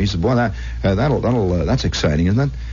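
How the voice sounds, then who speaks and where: A man speaks with an American accent and very wide pitch swings. Noticeable background noise is present. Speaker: radio host. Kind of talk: late-night radio monologue. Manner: conversational, storytelling.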